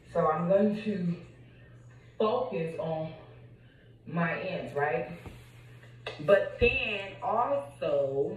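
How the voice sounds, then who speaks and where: A woman's fairly low voice at a very slow pace, with long, frequent pauses and audible room echo. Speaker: vlogger. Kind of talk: casual vlog chat. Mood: relaxed, conversational. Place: home room. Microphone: phone near.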